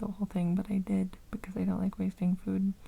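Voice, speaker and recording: A woman speaks softly. She talks at a very fast pace. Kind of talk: ASMR unscripted ramble, casual talk to camera. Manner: soft-spoken.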